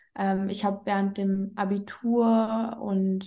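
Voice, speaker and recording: A woman speaks at a medium pitch in a dark, mellow tone that is somewhat breathy. Her intonation stays monotone and flat. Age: 30s. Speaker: business coach. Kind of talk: casual interview.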